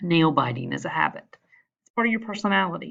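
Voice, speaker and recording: Over a quiet background, a woman speaks with vocal fry. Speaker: school counselor teaching a class. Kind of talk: recorded class lesson.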